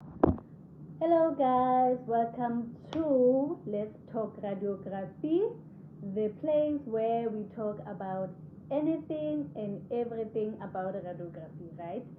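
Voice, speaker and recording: A woman speaks very slowly at a fairly high pitch, her pitch swinging very widely. Room echo is audible. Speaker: radiographer and video host. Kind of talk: casual vlog talk. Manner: conversational, hesitant with fillers.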